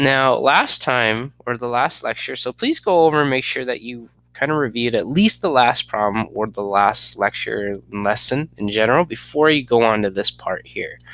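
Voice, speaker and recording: An ordinary speaking voice from a man at medium pitch, moderate pace with hardly any pauses, ordinary pitch variation, and a very clean recording with a silent background. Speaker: math teacher. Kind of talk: lecture.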